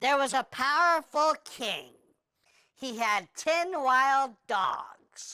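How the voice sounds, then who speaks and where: A cartoonish character voice, female-sounding and high-pitched, at a very slow pace. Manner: chatty, deadpan storytelling.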